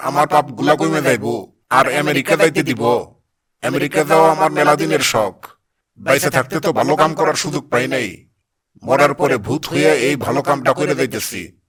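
A man puts on a cartoonish character voice at a fairly high pitch. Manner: blunt, rustic dialect speech.

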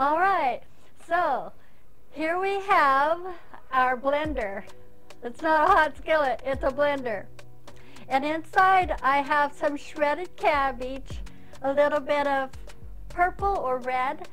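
A woman with a high pitch speaks very slowly, leaving long, frequent pauses. Her pitch varies in an ordinary way, and faint music plays in the background. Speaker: cooking show host. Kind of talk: tutorial. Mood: cheerful, warm. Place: kitchen.

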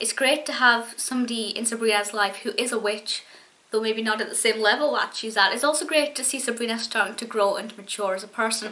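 A woman speaks at a very fast pace with fairly even intonation. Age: 20s. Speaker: YouTube TV show reviewer. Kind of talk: solo video review monologue. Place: home room. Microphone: webcam.

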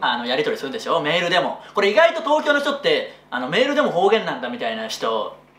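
The speech comes at a very fast pace with hardly any pauses. Room echo is audible. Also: man. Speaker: comedian. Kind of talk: casual comedy radio talk. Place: office.

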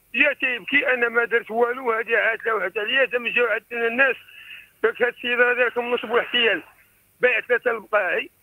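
A man talks at an extremely high pitch and a fairly quick pace, with fairly even intonation and very even loudness. The background is quiet. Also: dry sound with no echo. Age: 60s. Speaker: caller. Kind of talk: phone-in complaint. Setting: phone call. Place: home room.

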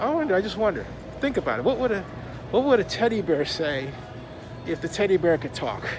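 Amid noticeable background noise, a man speaks very fast in a high pitch. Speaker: vlogger. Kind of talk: casual vlog chat. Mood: playful, curious. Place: shop. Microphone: phone near.

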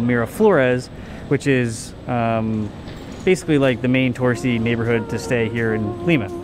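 Fairly even intonation from a man, over noticeable background noise. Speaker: travel vlogger. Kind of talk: casual vlog chat. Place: hall. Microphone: phone near.

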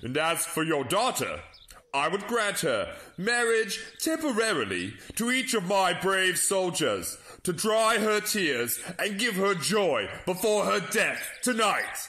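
A man with a high pitch uses a raised, projected voice. He speaks at a fairly slow pace with lively intonation. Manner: taunting, gloating, cruel.

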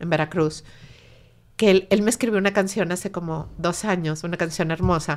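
With a Mexican accent, a woman speaks at a fairly low pitch with fairly even intonation. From Mexico. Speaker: bereaved mother and suicide prevention activist; guest. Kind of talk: emotional personal testimony. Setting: in-person studio interview. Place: studio. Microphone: studio mic.

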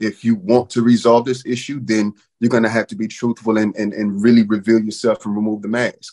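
With an American accent, a man speaks at a very fast pace and fairly low pitch against a quiet background. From North Texas, Wichita Falls; Texas. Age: 40s. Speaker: father, panelist; panelist. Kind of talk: panel discussion. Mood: reflective, earnest. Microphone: webcam.

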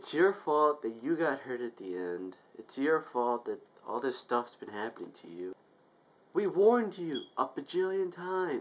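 A man's fairly high voice at a moderate pace, with very wide pitch swings and big swings in loudness. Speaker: YouTube vlogger. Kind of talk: angry venting rant to camera. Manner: exasperated, profane outbursts, repeating 'I told you'; rambling, self-interrupting, casual filler-heavy. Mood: exasperated ranting. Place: home room. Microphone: webcam.

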